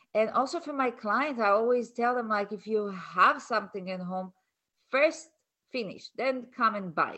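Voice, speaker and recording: A woman with a non-native accent, fairly high in pitch with ordinary variation, at a moderate pace. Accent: foreign-accented English. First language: not English. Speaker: colon-health practitioner and author. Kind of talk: casual chat.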